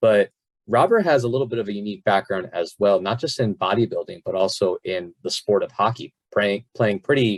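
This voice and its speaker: The pace of this man's speech is fairly quick. No echo colors the dry, close sound. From South Florida. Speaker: podcast host and fitness coach. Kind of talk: casual podcast interview. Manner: animated.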